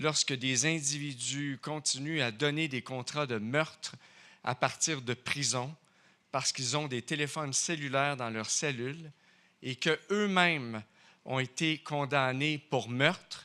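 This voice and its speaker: At a moderate pace, a man with a Quebec French accent speaks at a fairly high pitch in a bright, sharp tone with ordinary pitch variation, on a very clean recording with a silent background. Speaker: crime journalist. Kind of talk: award acceptance speech. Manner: halting.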